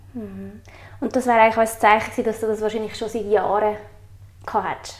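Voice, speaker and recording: Fairly quick, fairly high-pitched speech from a woman. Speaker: podcast host. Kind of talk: interview.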